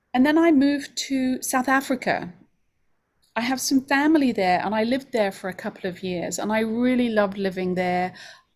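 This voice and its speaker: On a very clean recording with a silent background, a woman speaks in a London accent. Her pitch is high, her intonation lively, and her pace moderate. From London, England. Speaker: homeopathy school director. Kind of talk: open house presentation.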